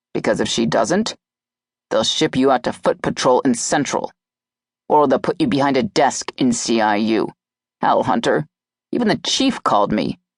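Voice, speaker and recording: A man's gruff, growling put-on character voice, fairly high in pitch, at a moderate pace with long, frequent pauses, very even loudness and a dry, close sound with no echo. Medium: read story. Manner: gruff, blunt, swears casually.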